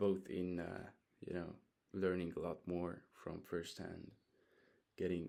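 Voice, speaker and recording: A man with a Hungarian accent, very deep and low in pitch, with a dark, mellow tone, monotone, flat intonation and a moderate pace. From Hungary. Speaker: vlogger. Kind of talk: casual monologue. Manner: halting.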